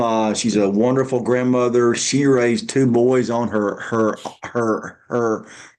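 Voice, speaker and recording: A man's very slow, monotone voice at medium pitch, flat in intonation, with a Southern US accent. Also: quiet background. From Alabama. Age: 50s. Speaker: stand-up comedian and motivational speaker. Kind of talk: interview. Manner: halting, repeated syllables.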